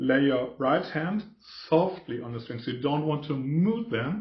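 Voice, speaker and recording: A man with a German accent talks fairly slowly at a fairly high pitch, his intonation lively. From Germany. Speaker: guitarist. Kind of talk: tutorial. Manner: halting.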